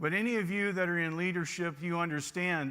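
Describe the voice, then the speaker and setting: A man's high-pitched voice with a bright, sharp tone and fairly even intonation, in a very clean recording with a silent background. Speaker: automotive service leadership trainer. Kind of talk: conference presentation.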